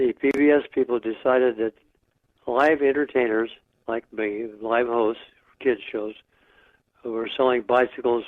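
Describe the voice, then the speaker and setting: A man with an American accent talks at a medium pitch. His intonation is flat and monotone. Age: 90s. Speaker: retired local children's TV host. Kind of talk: interview answer. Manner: candid, reminiscing.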